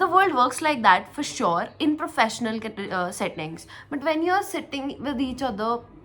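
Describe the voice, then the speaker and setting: Speaking at a moderate pace, the woman has a high pitch, and noticeable noise runs in the background. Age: 20s. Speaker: tech podcast co-host. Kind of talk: casual podcast conversation.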